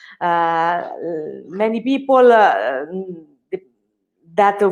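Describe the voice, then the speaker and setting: A woman speaks with an Italian accent. Her voice sits at a medium pitch. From Italy. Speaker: personal chef. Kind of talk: live cooking class. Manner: halting, many hesitations.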